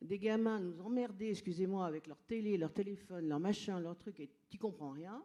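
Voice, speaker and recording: A woman's tone is dark and mellow, her pitch varying in an ordinary way as she talks at a moderate pace. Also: medium pitch for a woman. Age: 60s. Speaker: audience member, trainer and coach. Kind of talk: audience question at public debate. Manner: animated; halting.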